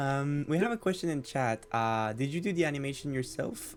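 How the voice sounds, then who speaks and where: A man's medium-pitched voice with a non-native accent and lively intonation, fairly slow in pace, over music in the background. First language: not English. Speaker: streamer, interview host. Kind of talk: casual chat. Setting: live stream. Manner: stammering.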